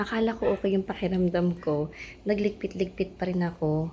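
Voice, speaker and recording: With a dark, mellow tone and medium pitch, a woman talks at a fairly quick pace. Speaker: vlogger. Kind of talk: casual vlog talk to camera. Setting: at home.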